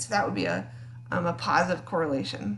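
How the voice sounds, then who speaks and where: Noticeable background noise runs through the clip, along with audible room echo. The woman talks at a very fast pace. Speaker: psychology teacher. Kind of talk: recorded lecture. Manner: casual, with many fillers.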